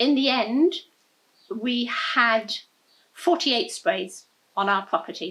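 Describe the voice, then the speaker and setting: A woman's bright, sharp tone in an English accent, at a fairly slow pace. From England. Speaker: environmental activist. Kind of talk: interview.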